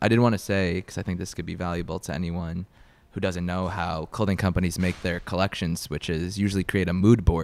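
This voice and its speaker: With a very deep, low pitch, a man talks at a fairly quick pace and keeps his intonation fairly even. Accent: New York. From Long Island, New York. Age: 20s. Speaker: YouTuber and clothing brand founder. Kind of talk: casual interview. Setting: in person in New York City.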